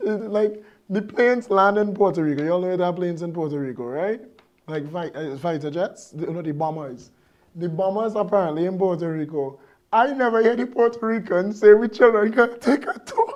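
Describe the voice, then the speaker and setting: This man has a Trinidadian accent and a high pitch, talking at a fairly quick pace. His tone is animated and his intonation lively. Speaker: political commentator. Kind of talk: live commentary show.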